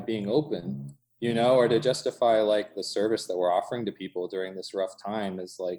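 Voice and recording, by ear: This man has a fairly low pitch, ordinary pitch variation, a slightly mellow tone and a moderate pace.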